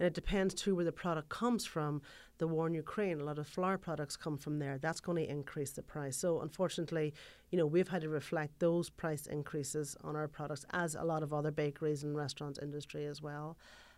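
A woman with an American accent speaks at a very deep, low pitch. Her pace is fairly quick and her intonation fairly even. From Ireland. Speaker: wedding cake baker and bakery owner. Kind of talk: interview.

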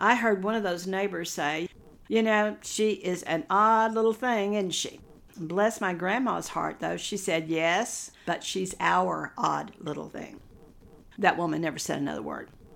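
A woman with a Texan accent speaks at medium pitch with ordinary pitch variation. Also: fairly slow pace. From Texas, Hill Country. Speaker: nutritionist and podcast host. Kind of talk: casual monologue.

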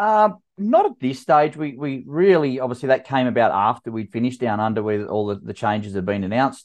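A man in an Australian accent, medium in pitch with very wide pitch swings, fairly quick with hardly any pauses, over a quiet background. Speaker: masters fitness athlete and event organizer. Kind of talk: casual interview.

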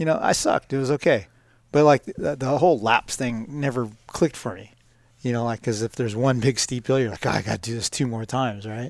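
In a very clean recording with a silent background and a dry, close sound with no echo, a plain, everyday voice moves at a fairly quick pace with ordinary pitch variation. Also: man, medium pitch for a man. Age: 50s. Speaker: motocross media owner, guest host. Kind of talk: casual chat. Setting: bike shop.

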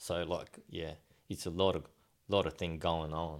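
This man speaks with an Australian accent at a very deep, low pitch, his intonation fairly even. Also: very clean recording, silent background. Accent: Australian-sounding English. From Japan, raised in Australia from age ten. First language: Japanese. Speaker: motocross test rider. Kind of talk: interview. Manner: halting.

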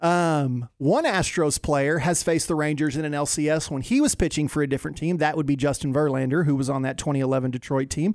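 Talking at a fairly quick pace, a man with an ordinary speaking voice keeps a fairly high pitch and fairly even intonation. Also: hardly any pauses. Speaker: sports radio contributor. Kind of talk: casual chat. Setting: studio.

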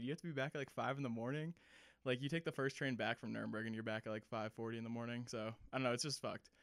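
With an American accent, a man at medium pitch talks at a very fast pace and fairly even intonation in a very clean recording with a silent background. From Massachusetts (Cape Cod). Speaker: army veteran and ski shop worker. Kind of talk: casual storytelling. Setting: home recording. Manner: casual, filler-heavy.

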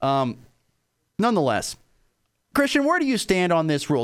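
Speaking at a fairly quick pace, the voice makes very wide pitch swings on a very clean recording with a silent background. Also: man. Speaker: radio sports talk host. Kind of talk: radio sports talk show debate.

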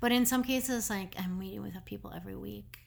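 An Upper Midwest accent at a fairly quick pace. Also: woman. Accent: Upper Midwest American. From Minnesota, Minneapolis. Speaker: art gallery owner. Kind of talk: casual interview. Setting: studio.

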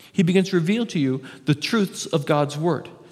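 A man talks at a very fast pace in a high pitch with ordinary pitch variation. Noticeable background noise runs under his voice. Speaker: pastor. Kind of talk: sermon.

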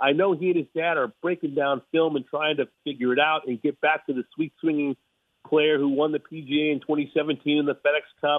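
A man with an American accent speaks at a moderate pace and fairly high pitch. His intonation stays monotone and flat. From Los Angeles. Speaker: golf broadcaster. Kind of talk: interview.

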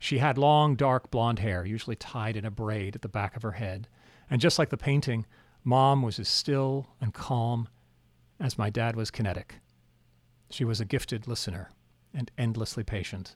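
With an American accent and a normal speaking voice, a man talks at a moderate pace in a medium pitch with ordinary pitch variation, on a very clean recording with a silent background. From Alaska (Anchorage). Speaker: memoir author and narrator. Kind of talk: scripted narration.

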